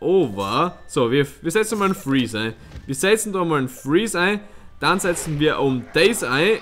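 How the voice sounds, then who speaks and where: Very wide pitch swings in a Styrian accent, with light background noise. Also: man, high pitch for a man, moderate pace. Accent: Styrian Austrian dialect. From Styria, Austria. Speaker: let's player. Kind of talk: live gameplay commentary. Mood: relaxed, playful.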